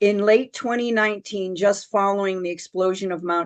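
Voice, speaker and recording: Speaking at a moderate pace, a woman uses a normal speaking voice with fairly even intonation. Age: 60s. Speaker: spiritual speaker. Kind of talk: spiritual talk on a group call.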